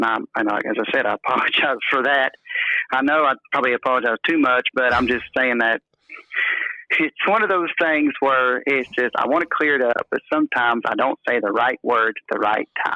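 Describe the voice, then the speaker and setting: At a fairly quick pace, a man speaks with a medium pitch, ordinary pitch variation and very even loudness. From North Carolina. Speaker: caller, evangelist preacher. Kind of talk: advice call, casual chat. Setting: phone call. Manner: halting, repeats words.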